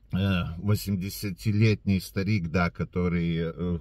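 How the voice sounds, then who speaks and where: With a very deep, low pitch, a man speaks at a moderate pace in a dry sound with no echo and a quiet background. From Latvia. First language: Latvian (speaking Russian). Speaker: video blogger. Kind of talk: direct-to-camera address. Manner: hesitant, many filler sounds. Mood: calm, earnest. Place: car. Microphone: phone near.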